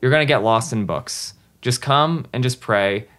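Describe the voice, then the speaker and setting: Speaking in a normal speaking voice with an American accent, a man uses lively intonation at a fairly slow pace on a very clean recording with a silent background. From New Jersey. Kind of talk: interview conversation.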